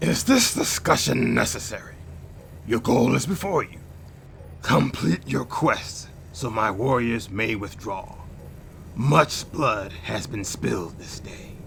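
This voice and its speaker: A man puts on a character voice and speaks fairly slowly with long, frequent pauses. Background noise is clearly audible. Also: medium pitch for a man. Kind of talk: formal, archaic speech. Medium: machinima. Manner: solemn, measured, formal.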